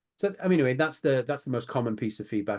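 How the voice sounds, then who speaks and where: A man with a British accent talks at a very fast pace with ordinary pitch variation against a quiet background. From Britain. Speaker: online poker company president. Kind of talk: interview. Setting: video call from home office.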